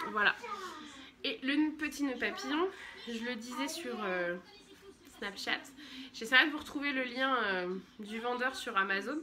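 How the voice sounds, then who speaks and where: A high-pitched woman speaks very slowly with lively intonation and long, frequent pauses. Noticeable background noise runs underneath. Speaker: vlogger and mother; vlogger. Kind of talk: casual vlog haul. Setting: at home. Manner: chatty, hesitant with many euh. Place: home room. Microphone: phone near.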